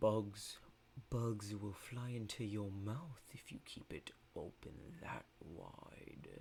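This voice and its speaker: A man speaks in a put-on character voice at a very slow pace. There is clear background noise behind him. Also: fairly low pitch for a man. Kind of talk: ominous final-boss voice. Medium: read story. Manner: slow, calm, commanding.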